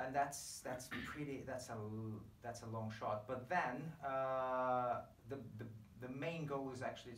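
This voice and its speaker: A man speaks at a fairly slow pace with fairly even intonation. Audible room echo and light background noise surround him. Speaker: podcast host. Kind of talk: podcast interview talk. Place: home room.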